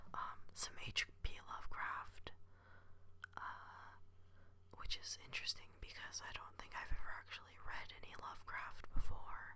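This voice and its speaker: The speaker whispers at a fairly slow pace. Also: man, big swings in loudness. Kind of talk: ASMR whispered ramble. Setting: home recording, podcasting microphone. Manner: whispered, soft-spoken; hesitant, many filler words.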